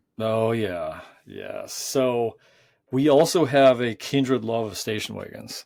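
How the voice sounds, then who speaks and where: A man's medium-pitched voice at a very slow pace, with ordinary pitch variation and big swings in loudness, on a very clean recording with a silent background. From North Dakota. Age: 40s. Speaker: podcast host. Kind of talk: casual chat.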